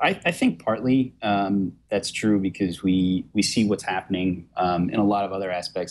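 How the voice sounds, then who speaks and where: Fairly even intonation in a Brooklyn accent. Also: man. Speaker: tech journalist. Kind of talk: interview. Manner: many fillers (um, you know).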